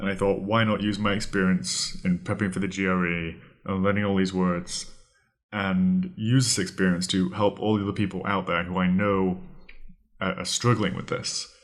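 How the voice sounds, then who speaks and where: A man speaks in a British accent at a moderate pace. His pitch is fairly low and his intonation is monotone and flat. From Britain. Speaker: podcast host, vocabulary tutor. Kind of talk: podcast monologue, tutorial.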